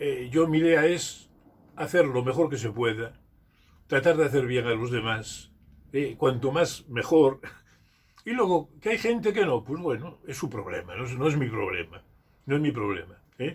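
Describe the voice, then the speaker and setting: This man's voice is fairly high and somewhat breathy. He talks at a fairly slow pace with lively intonation. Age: 80s+. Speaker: retired school teacher and community leader. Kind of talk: interview. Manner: halting, with frequent repetitions.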